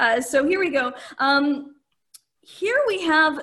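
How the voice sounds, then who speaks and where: With audible room echo, a woman uses a raised, projected voice at an extremely high pitch, with a bright, sharp tone and very wide pitch swings. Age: 40s. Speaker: podcast host. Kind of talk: casual comedic chat. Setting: live stream.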